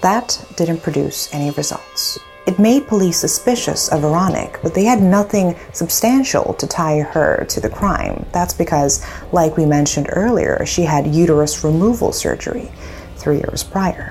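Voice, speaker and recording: A woman speaks in a dramatic tone at a moderate pace. Music plays in the background. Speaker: true crime video host. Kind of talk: true-crime narration. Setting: video channel recording. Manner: measured, storytelling delivery with dramatic emphasis.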